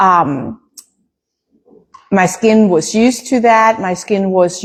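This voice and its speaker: Speaking at a very slow pace, a woman of medium pitch uses fairly even intonation. She has a German accent. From Germany. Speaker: small farm business owner. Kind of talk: casual live stream talk.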